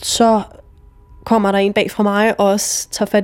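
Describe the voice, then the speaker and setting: At a moderate pace, a woman speaks with a medium pitch and flat, monotone intonation. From Jutland, Denmark (Vojens). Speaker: interviewee telling personal story. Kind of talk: personal narrative testimony. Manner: halting, many fillers.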